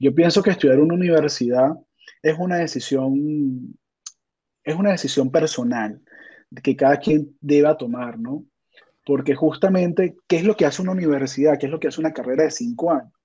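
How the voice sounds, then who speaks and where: A man's fairly high voice with a dark, mellow tone, ordinary pitch variation and a fairly quick pace. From Venezuela. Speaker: software testing expert. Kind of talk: interview.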